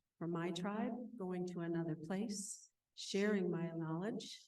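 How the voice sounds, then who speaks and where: Amid audible room echo, a woman with an American accent talks fairly slowly in a dark, mellow tone with fairly even intonation. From Northwest Minnesota, Ojibwe reservation. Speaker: mindfulness teacher and counselor. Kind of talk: conference talk. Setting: stage with audience at conference. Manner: calm, reflective.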